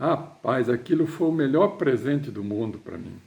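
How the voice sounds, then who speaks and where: Somewhat breathy, a man speaks at a moderate pace. His pitch is fairly high. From southern Brazil (Rio Grande do Sul / western Paraná). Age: 60s. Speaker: writer. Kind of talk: personal storytelling to camera. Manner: halting, with repeated words.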